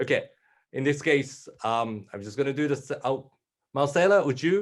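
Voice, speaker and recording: A man with a Japanese accent, fairly high in pitch, at a moderate pace. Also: ordinary pitch variation, big swings in loudness. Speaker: panel moderator. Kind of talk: panel discussion.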